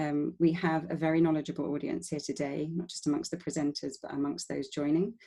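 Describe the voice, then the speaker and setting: A woman with a London accent speaks at a very deep, low pitch in a dark, mellow tone. Her pace is fairly quick and her intonation fairly even. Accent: London-sounding English. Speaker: webinar moderator. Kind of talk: online panel moderation. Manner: hesitant, many fillers.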